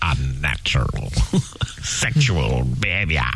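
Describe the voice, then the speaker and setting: A man speaks in a put-on character voice at a fairly slow pace. Background noise is clearly heard. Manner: menacing, drawn out.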